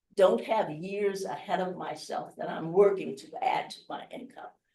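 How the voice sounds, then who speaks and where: A woman of medium pitch talks with a Midwestern American accent. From US Midwest, Chicago. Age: 70s. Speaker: investing speaker. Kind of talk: workshop talk. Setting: hotel event room with live audience.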